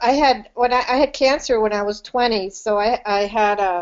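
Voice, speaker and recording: A woman is speaking. Her pace is moderate. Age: 60s. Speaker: retired school principal. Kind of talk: casual chat on group call.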